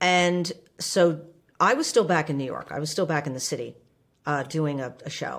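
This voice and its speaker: On a very clean recording with a silent background, a woman with an American accent talks at a moderate pace in a very deep, low voice with ordinary pitch variation. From New Jersey, US (Livingston). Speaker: stage actor and theater co-founder. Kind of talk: interview. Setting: studio at a cabaret venue.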